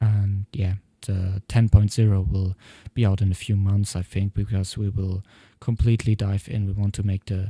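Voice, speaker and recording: A man with a non-native accent, fairly low pitch and dark, mellow tone, somewhat breathy, at a fairly slow pace with monotone, flat intonation and a dry, close sound with no echo. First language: not English. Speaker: software developer vlogger. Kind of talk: tutorial. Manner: halting.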